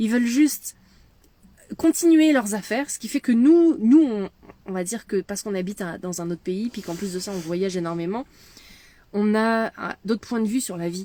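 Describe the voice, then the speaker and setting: A woman speaks at medium pitch with a dark, mellow tone and lively intonation. Her loudness swings widely, and she takes long, frequent pauses. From France. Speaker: medium and leadership mentor. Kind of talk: casual chat. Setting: in a van.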